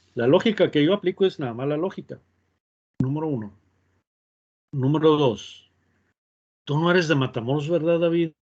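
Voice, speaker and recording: Over a quiet background, a man with a fairly high pitch talks at a moderate pace with ordinary pitch variation and long, frequent pauses. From northern Mexico. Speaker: university professor. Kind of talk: online class, casual aside.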